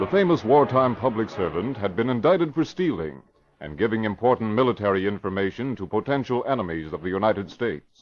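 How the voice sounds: With few pauses, a man speaks at a fairly quick pace in a fairly low voice full of big pitch swings.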